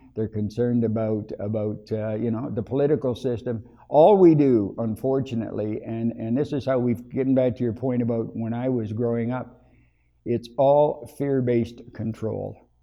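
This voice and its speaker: It is an ordinary speaking voice. A man with a medium pitch talks at a moderate pace, with fairly even intonation. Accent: Canadian. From Ontario, Canada. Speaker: interviewee in community project. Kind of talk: interview answers.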